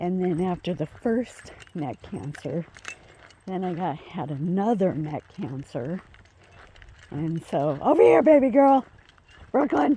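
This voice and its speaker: A woman with a fairly low pitch speaks quietly and at a fairly slow pace, with very wide pitch swings, big swings in loudness, long, frequent pauses and noticeable background noise. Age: 50s. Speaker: vlogger walking her dogs. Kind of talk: casual vlog chat. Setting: outdoors on a walk. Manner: quiet, hard to hear.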